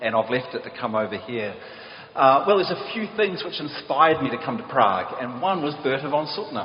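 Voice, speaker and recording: A man with a New Zealand accent speaks fairly quickly at a fairly high pitch, making very wide pitch swings. Noticeable background noise and audible room echo surround him. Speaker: peace activist, prize laureate. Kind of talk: conference talk.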